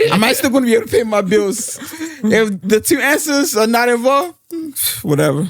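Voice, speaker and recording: Here a man speaks with an American accent at an extremely high pitch. His intonation is lively, his loudness very even and his pace fairly quick. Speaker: podcast co-host. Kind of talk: casual chat.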